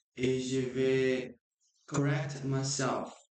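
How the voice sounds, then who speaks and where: Here a man speaks at a very slow pace. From Brazil. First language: Portuguese (speaking French). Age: 20s. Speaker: language learner vlogger. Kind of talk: unscripted practice monologue. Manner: halting, with many restarts.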